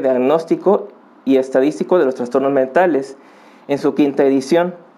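A man speaks with a Mexican accent at a fairly high pitch. Noticeable background noise sits behind him. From Mexico, Acapulco (Guerrero). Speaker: psychologist and family counselor. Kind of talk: podcast interview. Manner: halting, frequent fillers.

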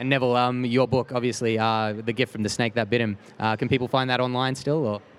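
Hardly pausing, a man with an Australian accent speaks at a medium pitch and very even loudness. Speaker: podcast host. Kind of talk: casual interview chat. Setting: busy expo, on location. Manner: excited, animated.

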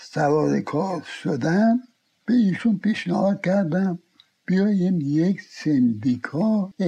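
A man's high, dark and mellow voice at a very slow pace, with lively intonation and very even loudness. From Iran, Tehran. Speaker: veteran insurance agent. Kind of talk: life story interview. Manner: halting.

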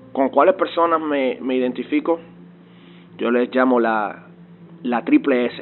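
A man speaks at medium pitch and a fairly slow pace, with long, frequent pauses and ordinary pitch variation. Noticeable background noise runs underneath. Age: 20s. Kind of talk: testimony. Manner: halting, frequent word repetitions.

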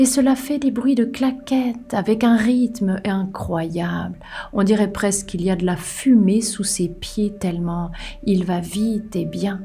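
Speaking very slowly, a woman uses a soothing, calm tone at a medium pitch with ordinary pitch variation. There is noticeable background noise. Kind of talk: hypnotic bedtime storytelling for children, narrated tale. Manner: slow, soothing, gently paced with pauses and suspense; calm, warm, intimate, speaking directly to the child.

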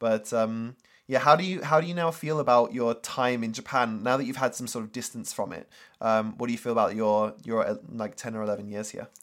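A man speaks with a British accent at a medium pitch and a fairly quick pace. His pitch variation is ordinary, and the recording is very clean with a silent background. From UK. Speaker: marketer and former English teacher. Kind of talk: casual interview chat.

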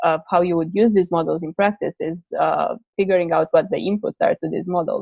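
At a moderate pace, a woman speaks with a Romanian accent. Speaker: PhD researcher in operations research. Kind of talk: interview conversation. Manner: halting, many repetitions and fillers.

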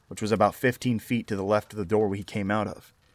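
Music in the background behind a fairly low-pitched man speaking at a moderate pace. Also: dry, close sound with no echo. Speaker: horror story narrator. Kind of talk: scripted horror narration, reading aloud Reddit stories. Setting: solo recording for YouTube audio.

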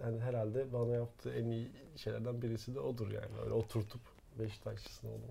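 A man with an ordinary speaking voice talks at a fairly quick pace in a medium pitch. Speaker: podcast co-host. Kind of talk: casual chat. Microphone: professional recording gear.

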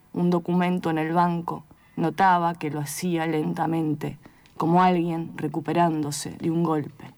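The recording is very clean, with a silent background. A woman with a fairly low pitch speaks at a fairly slow pace. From outside Argentina. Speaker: poet. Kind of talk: poetry reading; interview.

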